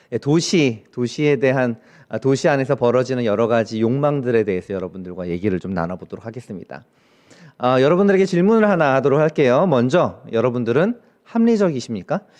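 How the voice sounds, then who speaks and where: In a quiet background, a man at medium pitch talks at a fairly quick pace with very wide pitch swings. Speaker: professor. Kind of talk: lecture. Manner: fast.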